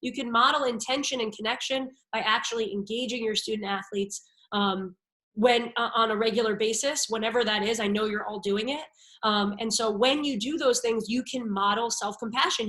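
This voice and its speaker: Fairly high in pitch, a woman's voice moves at a fairly quick pace. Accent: American. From New Jersey. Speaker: sport psychologist. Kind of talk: webinar presentation. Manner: fast.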